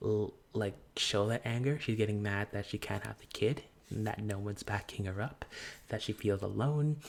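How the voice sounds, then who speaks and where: Soft-spoken and calm in tone, the voice moves at a moderate pace in a very clean recording with a silent background. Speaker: gaming YouTuber. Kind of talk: casual commentary over gameplay. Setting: filming outside own room. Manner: calm, soft indoor voice.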